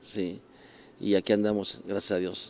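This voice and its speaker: A man speaks at a moderate pace in a dark, mellow tone, with a dry sound and no echo. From Mexico City area; Mexico. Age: 60s. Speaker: rock musician; interviewee. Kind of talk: casual chat. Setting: café. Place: bar. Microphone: handheld.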